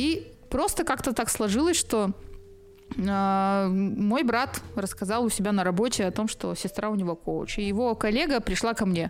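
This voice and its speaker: A woman with an ordinary speaking voice, medium in pitch, at a fairly slow pace with very even loudness and ordinary pitch variation. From central Russia. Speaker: media manager and coach. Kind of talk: casual interview chat. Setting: studio.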